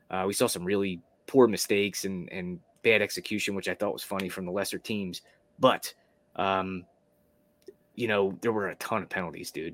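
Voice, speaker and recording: A man with a normal speaking voice talks at a fairly quick pace, fairly low in pitch and fairly even in intonation. The recording is very clean, with a silent background. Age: 30s. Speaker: sports betting podcast host. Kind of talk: casual chat.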